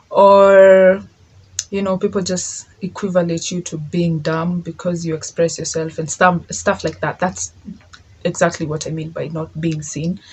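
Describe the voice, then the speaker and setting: There is noticeable background noise. A woman speaks at a fairly low pitch and a fairly slow pace. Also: fairly even intonation. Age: 20s. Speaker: podcast host. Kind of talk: solo monologue. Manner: casual, code-switching with Swahili.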